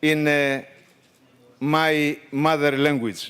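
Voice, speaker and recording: A man with a Greek accent, a fairly high pitch and a very slow pace. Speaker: trade union leader. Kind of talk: formal speech. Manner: halting.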